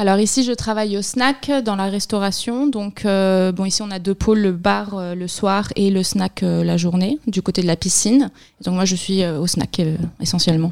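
In a very clean recording with a silent background, a woman with an unremarkable speaking voice talks at a medium pitch and a fairly slow pace, using ordinary pitch variation. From Barcelona, Spain. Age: 20s. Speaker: seasonal snack bar worker. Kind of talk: interview.

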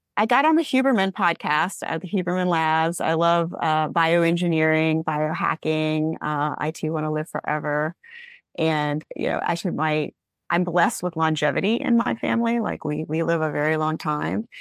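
Over a silent background in a very clean recording, a woman speaks with a Southern US accent in a very deep, low pitch. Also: ordinary pitch variation, moderate pace, dry, close sound with no echo. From US South, Alabama. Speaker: business coach for lawyers, former attorney. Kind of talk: podcast interview.

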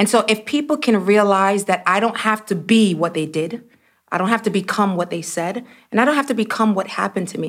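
Recorded very cleanly against a silent background, a woman with a plain, everyday voice and an American accent speaks fairly quickly at medium pitch with ordinary pitch variation. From US Northeast (Brooklyn, New York). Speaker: church executive and speaker. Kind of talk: interview.

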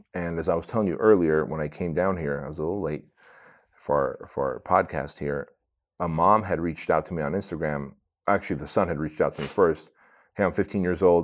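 This man's pitch is very deep and low, his intonation fairly even. He talks at a fairly quick pace with an American accent. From Armenia, raised in the US from age six. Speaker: entrepreneur, author and speaker. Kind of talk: interview storytelling.

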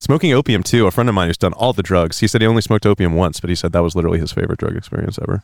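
At a very fast pace, a man speaks with hardly any pauses and ordinary pitch variation. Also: fairly low pitch for a man. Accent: American. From US West (California). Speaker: podcast host. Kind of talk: casual chat.

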